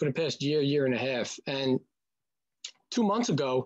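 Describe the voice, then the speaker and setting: Lively intonation from a man with a New York accent over a quiet background. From Staten Island, New York. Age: 40s. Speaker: brand partner. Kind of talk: testimony. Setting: video call.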